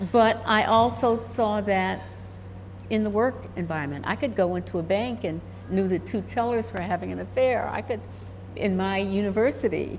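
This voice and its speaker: A woman talks at a moderate pace, and there is audible room echo. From US, moved around as Army child. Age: 80s+. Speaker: intuitive, retired university administrator. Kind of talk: interview conversation.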